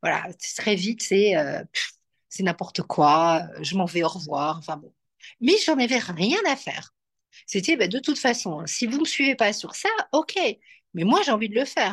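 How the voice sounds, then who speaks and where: Speaking at a moderate pace with a medium pitch, a woman uses lively intonation and long, frequent pauses against a quiet background. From Belgium. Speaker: astrologer and entrepreneur. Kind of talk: interview. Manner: soft and gentle; hesitant, many fillers.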